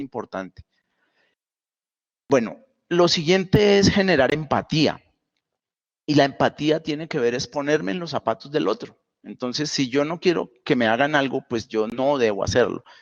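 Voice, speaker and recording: With a Santander Colombian accent, a man speaks in a fairly high voice at a moderate pace, using lively intonation and long, frequent pauses, recorded dry and close with no echo against a quiet background. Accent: Santander Colombian, speaks somewhat abruptly. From Colombia, Santander. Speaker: university lecturer. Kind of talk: online lecture. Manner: many fillers (pues, eh).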